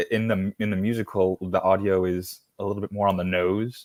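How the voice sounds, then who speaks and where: A man's fairly low voice at a moderate pace, fairly even in intonation, with a dry, close sound, no echo and a very clean, silent background. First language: Spanish. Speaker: guest on Oz fan podcast. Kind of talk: casual chat. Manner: halting, many fillers.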